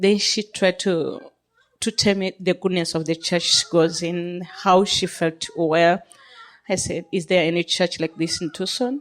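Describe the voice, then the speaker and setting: A woman with a non-native accent speaks at a fairly slow pace. Her pitch sits fairly low and her intonation is fairly even. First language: not English. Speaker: minister, church member giving thanks. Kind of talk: testimony. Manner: halting.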